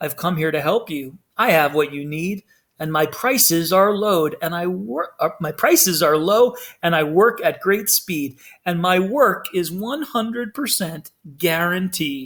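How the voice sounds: Using a put-on character voice, a man speaks at a fairly slow pace with a high pitch, a fairly bright tone and lively intonation.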